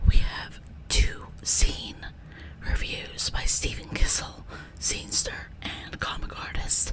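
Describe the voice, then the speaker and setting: Someone whispers at a very slow pace. Noticeable background noise runs under the voice. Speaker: zine channel host. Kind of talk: casual vlog with ASMR whispering. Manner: whispering.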